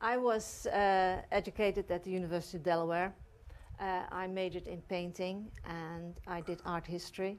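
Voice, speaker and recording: A woman speaks in a Dutch accent at a medium pitch and a moderate pace, with monotone, flat intonation. The recording is very clean, with a silent background. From Netherlands. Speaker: art gallery owner. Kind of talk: interview on a local TV talk show. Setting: TV studio. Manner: hesitant, many fillers.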